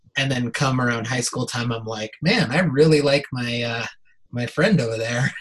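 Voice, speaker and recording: Somewhat breathy and at medium pitch, a man speaks at a moderate pace with ordinary pitch variation. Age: 30s. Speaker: performer and filmmaker. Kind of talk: casual chat.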